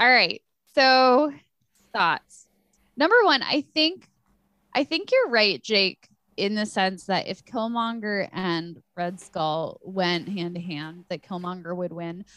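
A woman's voice sits at a medium pitch with a bright, sharp tone. She speaks at a very slow pace with lively intonation. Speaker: podcast host. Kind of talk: casual chat. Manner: animated.

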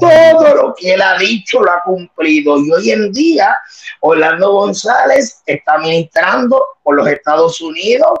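A man with a high pitch talks at a fairly slow pace, his pitch swinging very widely while his loudness stays very even. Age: 30s. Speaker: evangelist. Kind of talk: testimony.

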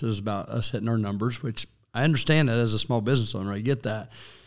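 With a Kansas accent, a man speaks with ordinary pitch variation on a very clean recording against a silent background. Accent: US Midwest (Kansas). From western Kansas, US. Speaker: small business owner and city commissioner. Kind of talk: interview.

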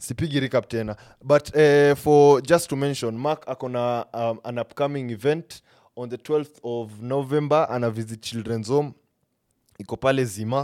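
Medium-pitched male voice with a Kenyan accent, dry and close with no echo, in a very clean recording with a silent background. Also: fairly even intonation, moderate pace. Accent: Kenyan English, Sheng code-switching. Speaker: podcast host. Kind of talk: casual interview chat.

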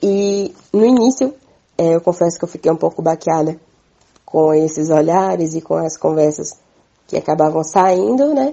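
Hers is an unremarkable speaking voice, a woman's at a fairly low pitch, with lively intonation at a moderate pace. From Minas Gerais, Brazil. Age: 20s. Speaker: farmer and community communicator. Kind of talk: interview testimony.

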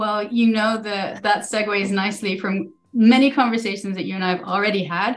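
A plain, everyday voice, fairly quick, with fairly even intonation. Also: woman, medium pitch for a woman. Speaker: podcast host. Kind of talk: casual interview conversation.

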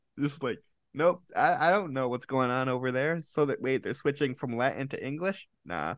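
A man speaks in a plain, everyday voice at medium pitch, with ordinary pitch variation over a quiet background. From Rochester, New York, US. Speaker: podcast host. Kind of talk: interview.

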